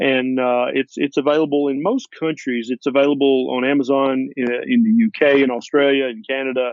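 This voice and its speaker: With a Tennessee accent, a man talks at medium pitch with ordinary pitch variation. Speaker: family physician. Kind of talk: interview.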